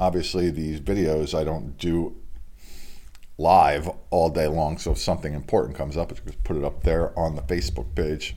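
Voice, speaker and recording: Vocal fry marks this man's speech, and his pitch swings very widely. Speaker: local sports news host. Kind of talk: sports news roundup. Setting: home studio. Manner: casual.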